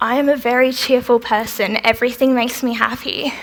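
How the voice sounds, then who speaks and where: This woman's voice is high in pitch, with fairly even intonation and a moderate pace. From Australia (Melbourne). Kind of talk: festival talk with audience Q&A.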